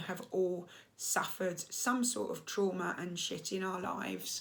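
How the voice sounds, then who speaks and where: A woman talks in an English accent at a medium pitch. Audible room echo surrounds her voice. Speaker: coach and therapist. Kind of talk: casual monologue to camera.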